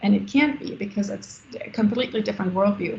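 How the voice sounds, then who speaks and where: A woman's medium-pitched voice with a German accent, audible room echo around it. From Germany. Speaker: architect and business founder. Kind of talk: Q&A after a lecture. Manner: halting, many fillers.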